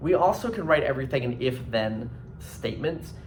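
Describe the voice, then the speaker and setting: A man's medium-pitched voice at a moderate pace with lively intonation, audible room echo and noticeable background noise. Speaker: high school math teacher. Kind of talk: lecture. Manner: casual, filler-heavy.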